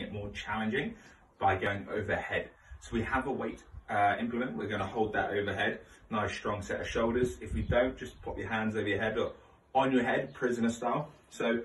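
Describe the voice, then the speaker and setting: Audible room echo and light background noise surround speech delivered at a fairly quick pace. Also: man. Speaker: fitness coach. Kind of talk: exercise tutorial. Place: garage. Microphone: camera far.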